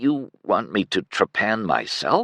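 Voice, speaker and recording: A man's raspy, put-on character voice at a medium pitch and fairly slow pace, with a dry, close sound and no echo. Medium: read story. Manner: strained, faint.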